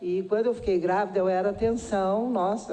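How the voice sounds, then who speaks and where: A woman's dark, mellow voice carries audible room echo. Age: 60s. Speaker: nursing department head at a university. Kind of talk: public hearing testimony. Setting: public hearing in a city council chamber.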